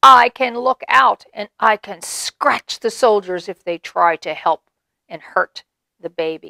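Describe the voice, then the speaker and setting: A female-sounding voice does a put-on character voice at a fairly slow pace and a medium pitch. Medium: read story.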